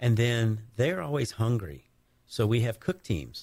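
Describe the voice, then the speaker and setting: A man's dark, mellow tone carries ordinary pitch variation as he talks at a moderate pace. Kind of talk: casual radio interview answers. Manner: easygoing, conversational, a bit halting with fillers.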